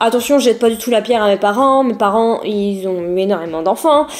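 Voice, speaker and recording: Through noticeable background noise, a woman speaks at a fairly high pitch with ordinary pitch variation. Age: 20s. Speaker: YouTuber. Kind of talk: personal vlog testimony. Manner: casual, hesitant with many fillers.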